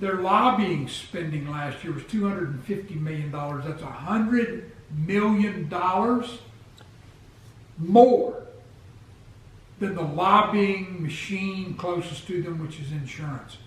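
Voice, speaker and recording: A man talks at a very slow pace with a high pitch and big swings in loudness. Noticeable background noise is present. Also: ordinary pitch variation. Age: 60s. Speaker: health vlogger. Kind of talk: casual talk to camera.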